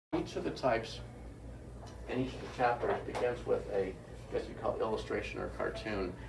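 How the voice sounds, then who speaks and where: A man talks at a fairly quick pace with long, frequent pauses and big swings in loudness, and audible room echo surrounds his voice. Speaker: author giving a book talk. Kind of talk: public talk. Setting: bookstore event with audience. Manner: fast.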